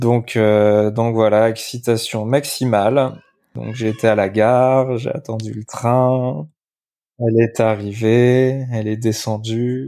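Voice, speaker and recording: Very slowly, a man talks at a medium pitch in a dark, mellow tone with fairly even intonation. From France, Limoges. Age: 30s. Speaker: furniture designer. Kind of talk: storytelling interview. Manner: hesitant, many fillers.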